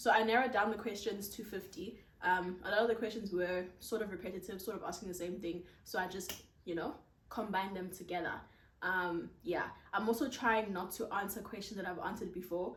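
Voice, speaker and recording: The voice belongs to a woman with a medium pitch. Audible room echo surrounds her. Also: fairly even intonation, fairly quick pace. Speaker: content creator. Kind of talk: casual Q&A vlog. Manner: projecting voice loudly.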